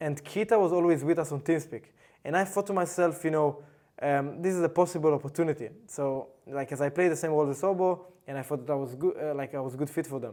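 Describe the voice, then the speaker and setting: Talking at a very fast pace, a man with a fairly high pitch has a dark, mellow tone and ordinary pitch variation. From Israel. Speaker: professional esports player. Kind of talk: interview. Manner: halting.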